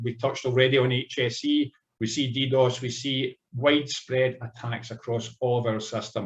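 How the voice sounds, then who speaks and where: In a Scottish accent, a man speaks at a medium pitch and a moderate pace. His voice is somewhat breathy, with fairly even intonation. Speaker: cybersecurity executive, former police officer. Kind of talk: conference panel talk. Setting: conference panel session. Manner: formal.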